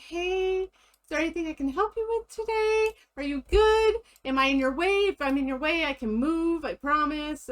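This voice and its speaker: Using a put-on character voice, a woman speaks at an extremely high pitch with lively intonation. The sound is dry and close, with no echo. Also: moderate pace. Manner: sweet.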